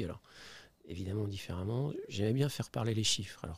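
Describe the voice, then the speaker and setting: A somewhat breathy man's voice, dark and mellow, at medium pitch with ordinary pitch variation and a fairly quick pace. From France, Saint-Étienne (Auvergne-Rhône-Alpes). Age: 60s. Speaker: company CEO, investor. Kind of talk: podcast interview. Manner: hesitant, many fillers and repetitions.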